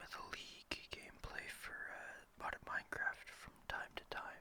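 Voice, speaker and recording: A man is whispering in a relaxed tone. He speaks at a fairly slow pace. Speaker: ASMR gaming content creator. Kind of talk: ASMR gameplay ramble. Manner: soft-spoken, relaxed, rambling.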